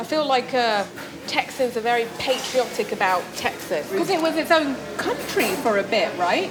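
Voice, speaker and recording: With a London accent, a woman speaks at a moderate pace and high pitch, her pitch swinging very widely while her loudness stays very even. Music plays in the background. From London, England.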